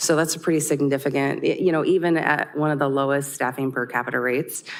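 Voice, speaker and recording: At a very fast pace, a woman speaks in a very deep, low pitch. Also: fairly even intonation. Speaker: city HR director. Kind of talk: budget presentation at council work session. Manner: loud.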